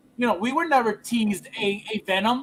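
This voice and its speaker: Loud and animated in tone, a man speaks at an extremely high pitch for a man with ordinary pitch variation. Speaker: collectibles livestream host. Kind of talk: casual chat. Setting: livestream.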